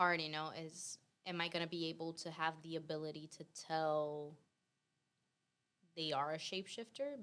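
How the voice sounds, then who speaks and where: This woman has a non-native accent and a fairly low pitch. She talks at a moderate pace with fairly even intonation. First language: not English. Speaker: debate guest. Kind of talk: casual debate. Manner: hesitant, searching for words.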